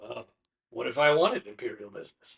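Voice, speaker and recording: The put-on character voice is raspy and moves at a fairly quick pace. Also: man. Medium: actual play. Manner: smooth, dry, teasing.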